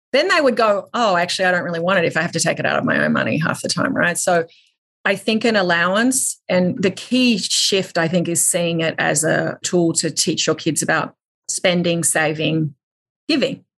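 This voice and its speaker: Speaking with an Australian accent, a woman uses a fairly low pitch and lively intonation. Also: moderate pace. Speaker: media company CEO. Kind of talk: interview.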